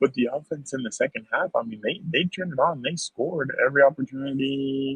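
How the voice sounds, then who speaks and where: Somewhat breathy, a man talks at a fairly quick pace with hardly any pauses. His pitch shows ordinary variation. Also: fairly high pitch for a man. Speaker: sports podcast host. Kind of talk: casual chat. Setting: at a stadium after the game.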